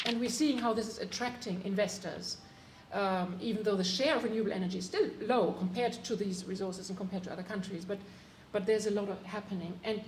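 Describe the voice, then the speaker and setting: Audible room echo and noticeable background noise surround the recording. The woman speaking has a medium pitch. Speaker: climate policy advisor, panelist. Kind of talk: panel discussion. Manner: halting, many fillers.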